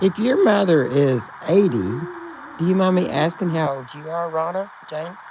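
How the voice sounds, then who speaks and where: A woman with a Texan accent speaks at a moderate pace and a fairly low pitch, with lively intonation and big swings in loudness. She leaves long, frequent pauses, and there is noticeable background noise. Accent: Texan Southern US. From Texas, rural central. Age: 70s. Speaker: livestream host. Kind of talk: casual chat with live chat readers.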